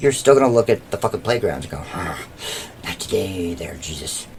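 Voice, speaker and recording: Talking at a fairly quick pace, a man moves through very wide pitch swings over noticeable background noise. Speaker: podcast co-host. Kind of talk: casual comedic chat. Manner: loud; animated.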